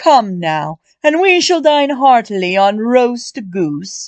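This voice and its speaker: In a put-on character voice, a woman speaks at a fairly high pitch with very wide pitch swings. She goes at a very slow pace against a quiet background. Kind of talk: genteel period speech. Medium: read story. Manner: smooth, courteous, formal.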